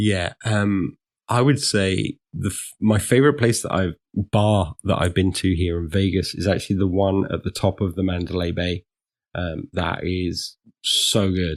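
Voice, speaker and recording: A man's very deep, low voice with a British accent, ordinary pitch variation and a fairly slow pace, in a dry, close sound with no echo. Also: very clean recording, silent background. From England. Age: 40s. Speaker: security consultant / ethical hacker. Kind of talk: podcast interview. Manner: hesitant, many fillers.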